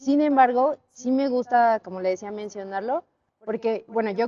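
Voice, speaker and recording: A normal speaking voice talks at a moderate pace with ordinary pitch variation. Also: woman. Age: 20s. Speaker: church member giving testimony. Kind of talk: testimony.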